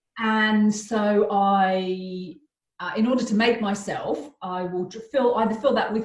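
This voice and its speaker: A somewhat breathy woman talks at a fairly slow pace and a medium pitch, with ordinary pitch variation. Her loudness swings a lot. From Australia. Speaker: therapist and artist. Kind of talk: casual chat.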